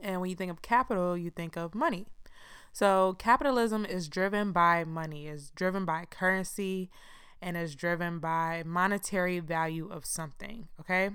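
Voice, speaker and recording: Someone with an American accent speaks at a moderate pace with big swings in loudness, in a very clean recording with a silent background. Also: woman, fairly low pitch for a woman. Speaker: podcast host. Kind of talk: casual solo podcast monologue. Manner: monotone; casual, informal.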